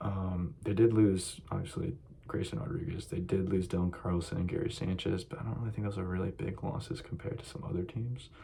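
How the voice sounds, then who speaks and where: The voice is quiet and fairly quick, with hardly any pauses and noticeable background noise. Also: man, very deep, low pitch for a man, ordinary pitch variation. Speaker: sports YouTuber. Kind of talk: casual monologue. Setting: library.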